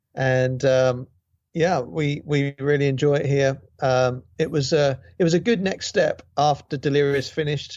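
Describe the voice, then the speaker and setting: Speaking fairly slowly with a British accent, a man holds a fairly high pitch, fairly even intonation and very even loudness. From Great Britain. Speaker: guitarist and songwriter. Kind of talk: interview. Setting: video call.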